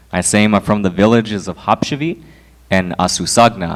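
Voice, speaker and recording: With an American accent, a man has a normal speaking voice at a fairly low pitch, moving at a fairly quick pace with ordinary pitch variation. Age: 20s. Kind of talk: talk to an audience.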